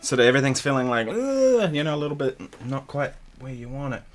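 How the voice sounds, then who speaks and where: A man speaks in a relaxed tone with a New Zealand accent, at a fairly quick pace. His intonation is lively, with music playing in the background. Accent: Kiwi. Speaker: guitarist. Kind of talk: casual livestream chat. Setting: home studio. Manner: relaxed, casual.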